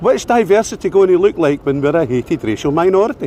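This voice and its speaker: Someone with a Scottish accent talks at a very fast pace. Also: man. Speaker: street activist filming debates. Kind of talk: heated debate. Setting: outdoors.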